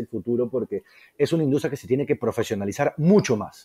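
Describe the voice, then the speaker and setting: A man's fairly high voice has a dark, mellow tone and lively intonation, recorded with a dry, close sound and no echo. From Peru. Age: 30s. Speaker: culinary school co-founder, chef. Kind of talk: casual interview.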